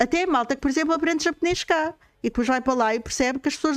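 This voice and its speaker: On a very clean recording with a silent background, a woman with a high pitch talks at a very fast pace with ordinary pitch variation. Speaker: streamer and podcast host. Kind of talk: casual chat. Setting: live stream.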